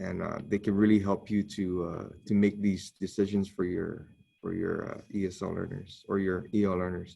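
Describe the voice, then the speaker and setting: Here is an unremarkable speaking voice from a man. His pitch is fairly low and his pace moderate. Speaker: teacher trainer. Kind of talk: training presentation.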